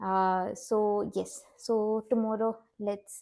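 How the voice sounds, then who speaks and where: A woman with a non-native accent speaks in a medium pitch with a dark, mellow tone. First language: not English. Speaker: watercolor art teacher. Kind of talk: tutorial. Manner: halting, many fillers.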